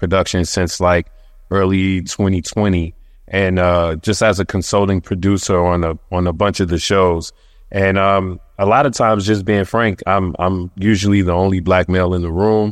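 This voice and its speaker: Speaking in an American accent, a man uses a very deep, low pitch with monotone, flat intonation. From Brooklyn, New York. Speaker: magazine editor turned TV producer. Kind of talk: panel discussion.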